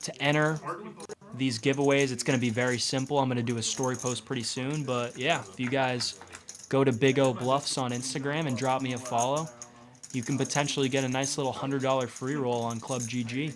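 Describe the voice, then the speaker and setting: Music plays in the background as a man with an American accent talks at a fairly quick pace in a monotone, flat intonation. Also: medium pitch for a man. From Massachusetts, New England. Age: 20s. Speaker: poker commentator. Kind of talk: live commentary. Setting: commentary booth.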